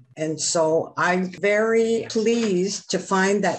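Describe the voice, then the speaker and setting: Over noticeable background noise, a woman of medium pitch talks at a very slow pace with ordinary pitch variation. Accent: Canadian. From Vancouver, Canada. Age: 70s. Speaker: First Nations chief. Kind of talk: documentary interview.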